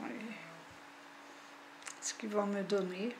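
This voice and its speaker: A woman's medium-pitched voice at a very slow pace with fairly even intonation, amid audible room echo and noticeable background noise. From French Basque Country. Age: 60s. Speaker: farmer. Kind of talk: testimony. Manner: halting.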